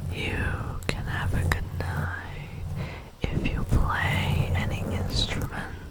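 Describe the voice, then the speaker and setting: Over noticeable background noise comes a whisper, delivered very slowly. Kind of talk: ASMR talking video. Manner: soft-spoken.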